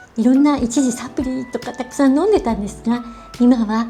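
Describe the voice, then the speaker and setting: With music in the background, a woman talks in a high register. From Japan. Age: 70s. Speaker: beauty and wellness personality. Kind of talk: casual how-to explanation to camera.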